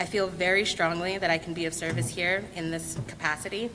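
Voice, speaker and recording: Amid noticeable background noise, a woman speaks at a fairly low pitch with fairly even intonation. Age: 30s. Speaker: school board candidate, parent. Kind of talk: candidate speech.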